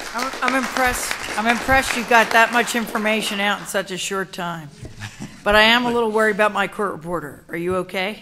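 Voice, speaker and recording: Against noticeable background noise, a woman speaks at a fairly quick pace and a fairly high pitch with ordinary pitch variation. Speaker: state legislator chairing hearing. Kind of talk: hearing chairing. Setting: public hearing with audience. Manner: fast.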